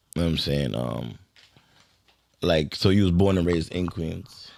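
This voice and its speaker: With a New York accent, a man speaks at a very deep, low pitch. His pace is moderate and his intonation lively. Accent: New York City. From New York City (Brooklyn). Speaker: podcast host. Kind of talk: casual interview. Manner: casual, slangy.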